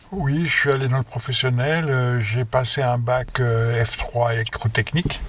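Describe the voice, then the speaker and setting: A man at a medium pitch talks at a fairly slow pace with hardly any pauses. His intonation is fairly even, and there is noticeable background noise. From France, Haute-Marne (near Langres). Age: 70s. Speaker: retired electrician and amateur investor. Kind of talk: interview. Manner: halting.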